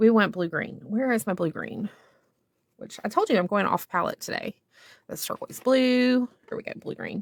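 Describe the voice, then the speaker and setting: A woman with a Southern US accent speaks with long, frequent pauses and big swings in loudness. The sound is dry and close with no echo, and her pitch varies in an ordinary way. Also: moderate pace. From US South. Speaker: art instructor. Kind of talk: tutorial. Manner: casual, meandering with fillers.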